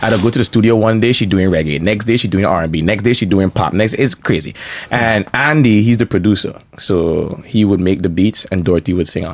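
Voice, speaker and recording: A man's fairly low voice with a St Martin accent, ordinary pitch variation and a fairly quick pace. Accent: St. Martin Caribbean English. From St. Martin (Caribbean). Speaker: rapper. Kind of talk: casual chat.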